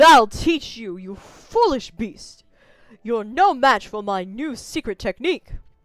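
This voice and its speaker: This put-on character voice sits fairly high, with very wide pitch swings and big swings in loudness. The delivery is dramatic and comes at a fairly slow pace. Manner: dramatic, heroic.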